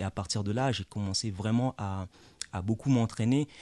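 A man's fairly low voice with a dark, mellow tone and fairly even intonation, dry and close with no echo, against a quiet background. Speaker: lawyer and former martial arts champion. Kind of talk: radio interview.

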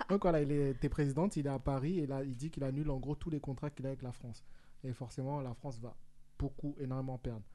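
Speaking at a very fast pace, a man with a fairly high pitch uses fairly even intonation and a dark, mellow tone. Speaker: radio host. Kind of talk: casual radio talk show. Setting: studio. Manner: jokey, laughing often.

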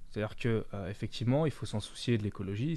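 A man speaks against a quiet background. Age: 20s. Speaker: radio columnist and journalist. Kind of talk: political discussion. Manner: animated.

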